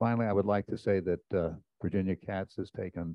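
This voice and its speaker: A man's very deep, low voice at a moderate pace, dry with no echo, over a quiet background. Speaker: retired club president. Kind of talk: speech. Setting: stage with audience. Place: hall. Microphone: handheld.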